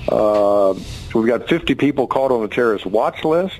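A man talks with an American accent. Noticeable background noise runs under his voice. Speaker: congressman. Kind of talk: radio interview.

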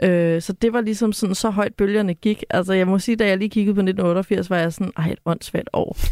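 A woman's plain, everyday voice at medium pitch, dry and close with no echo, very even in loudness, fairly quick, with fairly even intonation and hardly any pauses. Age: 30s. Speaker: cultural analyst, podcast co-host. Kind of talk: casual chat.

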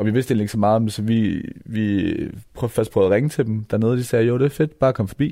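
A man's dark, mellow tone at a very fast pace on a very clean recording with a silent background. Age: 20s. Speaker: hip-hop musician. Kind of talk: interview.

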